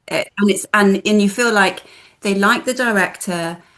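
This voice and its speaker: Her voice is an ordinary speaking voice, a woman's at medium pitch with fairly even intonation. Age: 50s. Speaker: film festival director. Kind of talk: casual chat.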